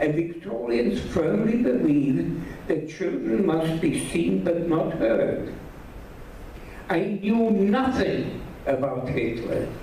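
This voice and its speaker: Very slow and with an even loudness, the voice swings very widely in pitch in a central European accent, with noticeable background noise and audible room echo. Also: man, fairly high pitch for a man. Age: 80s+. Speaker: Holocaust survivor speaker. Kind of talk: talk to an audience. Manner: halting.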